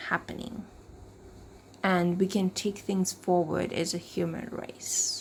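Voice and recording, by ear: A woman speaks at a slow pace. Her pitch sits fairly low.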